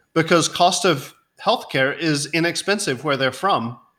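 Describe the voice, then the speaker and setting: A man's fairly high-pitched, medium-speed delivery in an ordinary speaking voice. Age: 40s. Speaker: insurance company founder. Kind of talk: interview.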